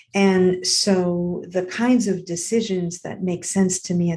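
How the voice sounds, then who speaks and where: Her voice is fairly low and somewhat breathy, with a dark, mellow tone and fairly even intonation as the woman speaks. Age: 60s. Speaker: podcast host. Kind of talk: casual monologue. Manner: halting.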